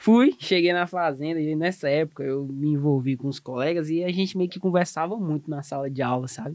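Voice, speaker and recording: A man speaks in a normal speaking voice, fairly high-pitched with ordinary pitch variation, at a fairly quick pace with hardly any pauses. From southeast Tocantins, Brazil. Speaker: animal scientist and technical consultant. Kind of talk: casual podcast conversation.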